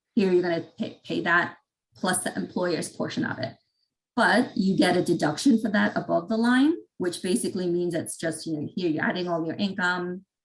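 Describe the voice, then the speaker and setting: With an unremarkable speaking voice, a woman speaks at a moderate pace. Her pitch is fairly low, and her intonation is lively. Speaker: tax presenter. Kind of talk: webinar presentation.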